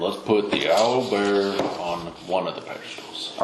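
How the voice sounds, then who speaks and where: Using a put-on character voice at a fairly low pitch, a man speaks at a moderate pace, with slight echo and clear background noise. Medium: actual play.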